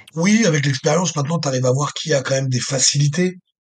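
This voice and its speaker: This voice is somewhat breathy, moving at a moderate pace with ordinary pitch variation. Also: man. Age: 30s. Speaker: strongman athlete. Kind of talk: casual interview. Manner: halting, many fillers and repetitions.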